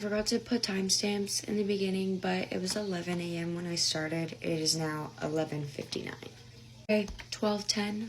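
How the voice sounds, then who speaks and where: The speaker's intonation is lively, with noticeable background noise behind it. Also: woman. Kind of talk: casual nail tutorial voiceover.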